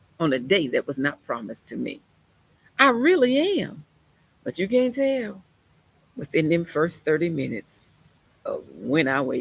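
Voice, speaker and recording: The tone is animated, with very wide pitch swings. Delivery runs at a fairly slow pace. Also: woman, long, frequent pauses, big swings in loudness. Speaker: preacher. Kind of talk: sermon.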